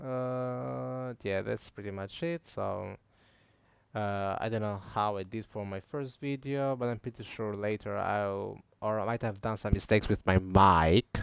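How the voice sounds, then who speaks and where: A man with a non-native accent talks at a fairly slow pace, his fairly low pitch carrying lively intonation in a very clean recording with a silent background. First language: not English. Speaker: tech tutorial youtuber. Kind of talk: tutorial. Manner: halting, many fillers; casual.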